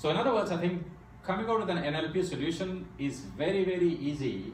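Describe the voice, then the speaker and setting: Amid noticeable background noise and audible room echo, a man with a high pitch speaks at a very fast pace with ordinary pitch variation. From India. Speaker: AI speaker at a tech meetup. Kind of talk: technical presentation. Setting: meetup talk before an audience.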